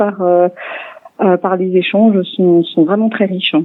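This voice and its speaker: A woman's voice at a medium pitch. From Alsace, France (Niedersteinbach, northern Vosges). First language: Alsatian (speaking French). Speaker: French language teacher. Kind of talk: radio interview. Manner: hesitant, many fillers.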